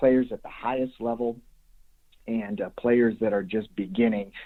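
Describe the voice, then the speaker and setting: A man at a medium pitch with a slight Chicago accent. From US Midwest, Chicago area (Des Plaines, Illinois). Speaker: youth baseball coach. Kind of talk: podcast interview.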